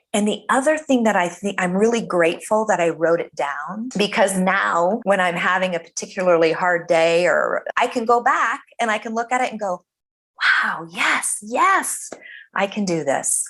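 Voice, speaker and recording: This woman has a normal speaking voice, medium in pitch, with ordinary pitch variation at a moderate pace. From Colorado, US. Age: 50s. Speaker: cancer survivor and author. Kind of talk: interview. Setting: podcast.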